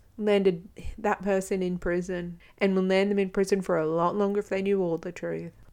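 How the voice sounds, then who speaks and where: A woman with an Australian accent, medium in pitch and dark and mellow in tone, against a quiet background. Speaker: podcast host, domestic abuse survivor. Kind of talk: solo podcast monologue. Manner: casual, chatty.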